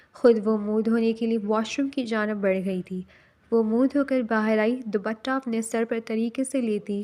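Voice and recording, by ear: Reading aloud in a natural voice, the speaker keeps the intonation fairly even.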